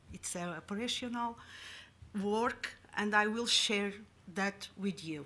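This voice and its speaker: With a strong Madeiran accent, a woman speaks very slowly at a medium pitch, her tone bright and sharp and her pitch varying in an ordinary way. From Madeira, Portugal. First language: Portuguese. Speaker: public health official. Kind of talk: conference presentation. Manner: halting, many fillers.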